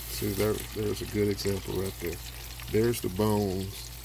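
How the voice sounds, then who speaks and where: A quiet voice speaks at a fairly slow pace over noticeable background noise. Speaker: outdoors cooking vlogger. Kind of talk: casual cooking demo. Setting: home kitchen. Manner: speaking quietly.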